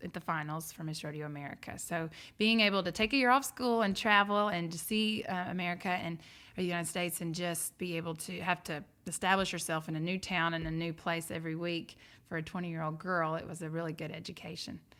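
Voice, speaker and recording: A woman talks at a very fast pace with a fairly low pitch and fairly even intonation. Her tone is bright and sharp on a very clean recording with a silent background. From Georgia, Monroe area outside Atlanta. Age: 30s. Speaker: chamber of commerce director and auctioneer. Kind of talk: casual interview.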